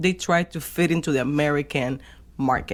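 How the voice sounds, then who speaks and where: A very clean recording with a silent background, in a Spanish accent. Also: woman. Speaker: podcast co-host. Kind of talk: casual chat.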